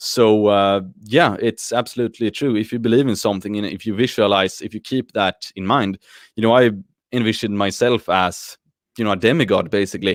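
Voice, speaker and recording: In a Swedish accent, a man speaks at a fairly quick pace in a fairly low voice with fairly even intonation, the sound dry and close with no echo on a very clean recording with a silent background. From Sweden. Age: 30s. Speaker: YouTuber and athlete. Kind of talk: video podcast interview. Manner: hesitant, many fillers.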